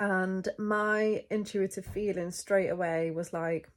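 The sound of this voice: A woman speaks at a slow pace in a medium pitch. Her intonation stays fairly even.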